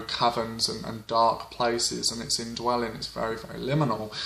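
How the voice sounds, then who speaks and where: A man at medium pitch with monotone, flat intonation and a moderate pace, against noticeable background noise. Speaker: witchcraft folklore vlogger. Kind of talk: informal educational talk. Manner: hesitant with frequent fillers.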